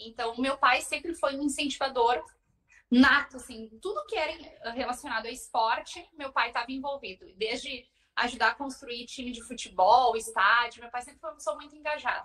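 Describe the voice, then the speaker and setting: This woman projects a raised voice with a bright, sharp tone and high pitch, her loudness swinging a lot. She moves at a moderate pace with ordinary pitch variation. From southern Brazil, Porto Alegre. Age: 30s. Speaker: marathon runner. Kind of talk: podcast interview, personal story.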